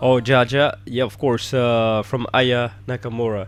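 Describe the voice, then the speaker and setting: A man speaks with music in the background. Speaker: radio show host. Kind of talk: live radio interview.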